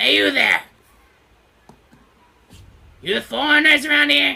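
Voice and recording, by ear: A put-on, gruff character voice with a high pitch moves along at a moderate pace.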